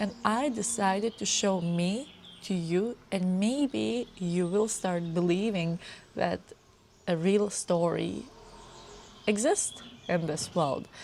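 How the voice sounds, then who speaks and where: A woman with a non-native accent speaks very slowly at a medium pitch, leaving long, frequent pauses. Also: lively intonation. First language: not English. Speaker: lifestyle vlogger. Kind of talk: personal vlog talk to camera. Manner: unscripted, sometimes jumping between topics.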